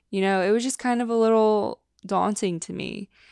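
A plain, everyday voice with fairly even intonation comes through in a very clean recording with a silent background. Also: woman. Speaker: podcast host. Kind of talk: casual solo chat. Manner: casual, chatty.

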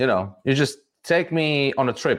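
With a Latvian accent, a man speaks at a fairly high pitch. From Riga, Latvia. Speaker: tequila brand ambassador and former bartender. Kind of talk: casual interview. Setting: video call.

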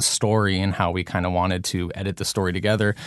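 Against a quiet background, a man with a plain, everyday voice speaks fairly low and at a fairly quick pace. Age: 20s. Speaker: documentary director. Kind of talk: interview.

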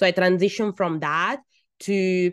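A woman with an Italian accent speaks at a fairly slow pace and a fairly low pitch, recorded in a dry, close sound with no echo. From Italy. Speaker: midwife and birth coach. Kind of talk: personal storytelling monologue.

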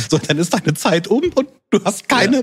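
A man's high-pitched voice, with very wide pitch swings and a fairly quick pace. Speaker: podcast host and software trainer. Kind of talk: casual chat.

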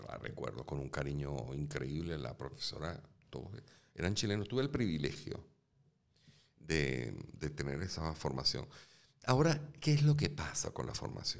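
Lively intonation and vocal fry, broken by long, frequent pauses. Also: man, very deep, low pitch for a man, moderate pace. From Venezuela (Caracas). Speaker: actor and film director. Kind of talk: interview conversation. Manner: halting, repeats words.

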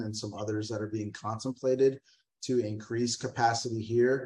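In an American accent, a man speaks at medium pitch, somewhat breathy, with monotone, flat intonation. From Texas, San Antonio. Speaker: brewery executive. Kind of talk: interview.

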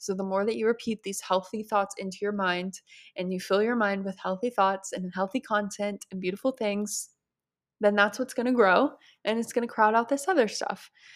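A woman speaks in an ordinary speaking voice at a medium pitch with fairly even intonation. The recording is very clean, with a silent background. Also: moderate pace. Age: 20s. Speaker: podcast host, eating disorder recovery. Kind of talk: solo Q&A monologue. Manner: casual, chatty with laughter.

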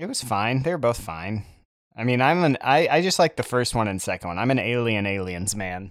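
A plain, everyday voice from a man at medium pitch, fairly quick in pace with lively intonation, on a very clean recording with a silent background. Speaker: podcast co-host. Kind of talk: casual chat.

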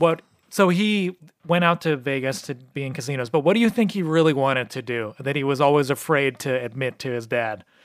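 A man with an American accent and an unremarkable speaking voice, fairly high pitch, lively intonation, fairly quick pace. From New Mexico, US. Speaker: podcast co-host. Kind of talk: casual chat.

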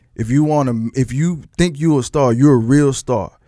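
Here is a man with an unremarkable speaking voice and an American accent. He talks at a moderate pace and medium pitch with ordinary pitch variation. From Texas. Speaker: retired rapper and content creator. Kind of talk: casual chat.

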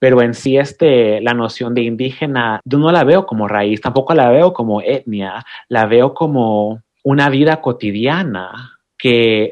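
A man with an unremarkable speaking voice, medium pitch, ordinary pitch variation and a fairly slow pace. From Oaxaca coast, Mexico. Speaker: poet and writer. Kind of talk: interview conversation.

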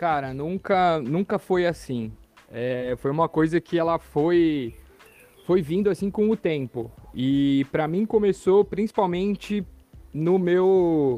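In a dark, mellow tone, a man with a high pitch speaks at a very slow pace with ordinary pitch variation, in a dry, close sound with no echo. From Brazil, São Paulo city. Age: 30s. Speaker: coworking and ecovillage entrepreneur. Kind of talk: casual podcast interview. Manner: animated.

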